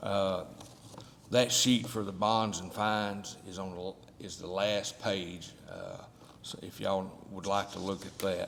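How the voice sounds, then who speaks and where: Over noticeable background noise, a fairly low-pitched man speaks at a fairly slow pace, his intonation fairly even and his loudness swinging widely. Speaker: county official presenting budget. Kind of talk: budget presentation at public meeting.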